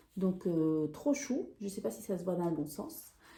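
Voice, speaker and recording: In a slight Peruvian accent, a woman speaks at a very slow pace with a dark, mellow tone and very wide pitch swings. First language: Spanish (speaking French). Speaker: sewing and knitting vlogger. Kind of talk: casual haul video chat. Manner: hesitant, many fillers.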